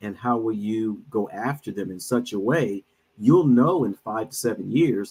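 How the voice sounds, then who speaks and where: Pitch rises and falls in an ordinary way. It is a plain, everyday voice. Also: man. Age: 60s. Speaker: minister and financial advisor. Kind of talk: casual chat.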